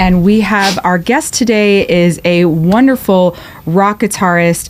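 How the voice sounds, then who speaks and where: In an American accent, a woman talks at a medium pitch with ordinary pitch variation in an ordinary speaking voice. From New York. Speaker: podcast host. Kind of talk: podcast interview. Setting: studio.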